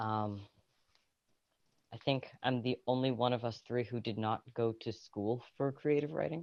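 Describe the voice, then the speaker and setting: This speaker is soft-spoken, with long, frequent pauses. The pace is fairly slow. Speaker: writer and roleplayer, podcast presenter. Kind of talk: casual chat. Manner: quiet, soft-spoken. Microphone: too quiet at first; phone held close to mouth.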